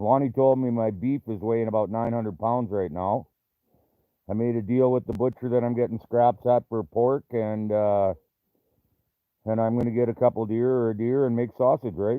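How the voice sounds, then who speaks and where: A man's medium-pitched voice with a Canadian accent, moderate pace and fairly even intonation. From Canada. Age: 60s. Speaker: trapper and livestream host. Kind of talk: casual livestream chat reading viewer comments. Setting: live video stream.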